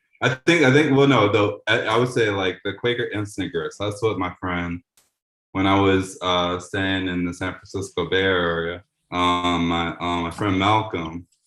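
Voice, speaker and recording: Music plays in the background as a man talks at a moderate pace. His pitch is very deep and low, with ordinary variation. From New Orleans, Louisiana. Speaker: community radio host. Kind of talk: casual chat.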